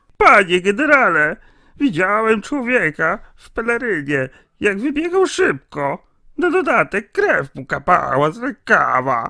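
A man uses a put-on character voice, high-pitched and raised to project, at a moderate pace. His pitch swings very widely and his loudness swings a lot. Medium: machinima. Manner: excited, breathless.

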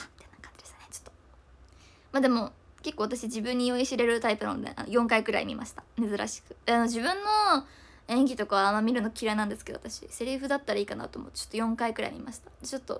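At a fairly quick pace, a woman with a high pitch and ordinary pitch variation talks with big swings in loudness. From Japan. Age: 20s. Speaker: idol; idol live streamer. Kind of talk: livestream chat. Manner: fast. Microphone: phone near.

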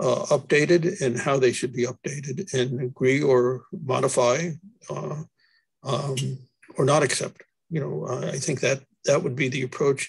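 A man at a moderate pace, with long, frequent pauses, ordinary pitch variation, a dry sound with no echo and a quiet background. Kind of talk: meeting discussion. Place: home room. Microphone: video call.

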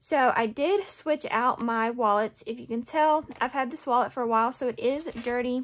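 This woman talks at a moderate pace. Her pitch is high. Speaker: budgeting vlogger. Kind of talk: casual vlog chat.

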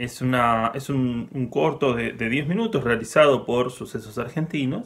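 A man talks against a quiet background, his pitch varying in an ordinary way. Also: medium pitch for a man, fairly slow pace. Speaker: film museum presenter. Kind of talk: casual spoken film introduction. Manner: hesitant, many fillers. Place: home room. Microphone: webcam.

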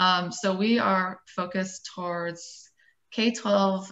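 A woman with an American accent speaks at a fairly low pitch with fairly even intonation, an unremarkable speaking voice. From Dayton, Ohio; Ohio. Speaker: architect turned nonprofit educator; panelist. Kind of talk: panel discussion on video call. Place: home room. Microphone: webcam.

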